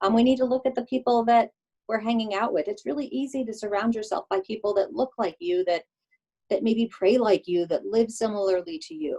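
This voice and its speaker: A woman talks at a fairly quick pace with a fairly high pitch, lively intonation and a dark, mellow tone. The sound is dry and close, with no echo. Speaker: diversity trainer. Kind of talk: webinar presentation. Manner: fast.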